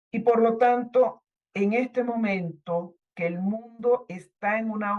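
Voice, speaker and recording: With ordinary pitch variation, the words unfold at a very slow pace. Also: woman. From Venezuela, Caracas. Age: 60s. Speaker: writer and university professor, activist. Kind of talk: testimony. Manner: halting with fillers.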